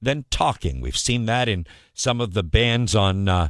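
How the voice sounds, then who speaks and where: An ordinary speaking voice talks at a fairly slow pace with lively intonation. The recording is very clean, with a silent background. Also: man. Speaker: morning radio show host. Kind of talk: radio morning show host patter.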